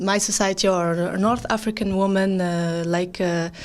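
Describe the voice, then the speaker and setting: A woman's voice of medium pitch. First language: not English. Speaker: band frontwoman, musician. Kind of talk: interview. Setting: on location at a music fair. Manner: halting, many fillers.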